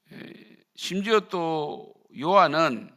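Lively intonation carries a bright, sharp tone. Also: man. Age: 50s. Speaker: pastor. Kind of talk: sermon. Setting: church.

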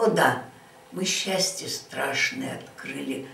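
Very slow speech from a woman, audible echo from the room around her. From Saint Petersburg. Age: 80s+. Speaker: siege survivor. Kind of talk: poetry reading. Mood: solemn, grave. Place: home room. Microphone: camera far.

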